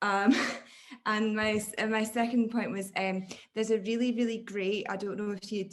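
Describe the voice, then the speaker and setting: A woman with a Scottish accent, fairly high pitch, monotone, flat intonation and a moderate pace. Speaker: academic audience member asking a question. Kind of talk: Q&A question at an online academic talk. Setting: video call. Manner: halting, many fillers.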